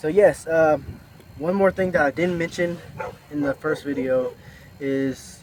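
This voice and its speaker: The man's delivery moves at a fairly slow pace. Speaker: vlogger, former job corps student. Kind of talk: casual vlog monologue. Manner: halting, stuttering.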